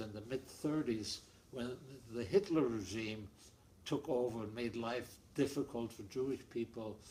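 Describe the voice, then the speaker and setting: With a German accent, a man speaks at a moderate pace in a medium pitch and a dark, mellow tone. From Germany. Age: 80s+. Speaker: Holocaust-era refugee, family interviewee. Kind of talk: oral history interview. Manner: halting, repetitive.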